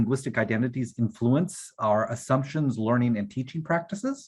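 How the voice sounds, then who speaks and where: A somewhat breathy man speaks at a moderate pace. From US South, Eastern Kentucky; Kentucky. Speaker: workshop facilitator. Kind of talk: workshop presentation. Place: home room. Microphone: video call.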